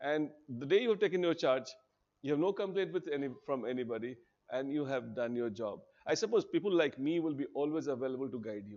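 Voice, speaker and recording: Against a quiet background, a man with an Indian accent talks fairly quickly at a fairly high pitch. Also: lively intonation. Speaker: teacher at a civil services coaching institute. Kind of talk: orientation talk to students. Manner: animated.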